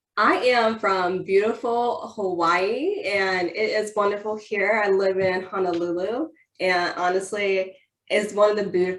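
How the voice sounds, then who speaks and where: Her voice is a normal speaking voice, medium in pitch with ordinary pitch variation. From Ohio, US Midwest. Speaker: military servicewoman and author. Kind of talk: interview.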